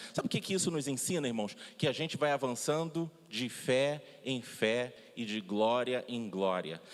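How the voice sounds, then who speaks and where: Lively intonation marks this man's speech. His pitch sits in the medium range. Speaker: pastor. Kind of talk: sermon. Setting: church. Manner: loud.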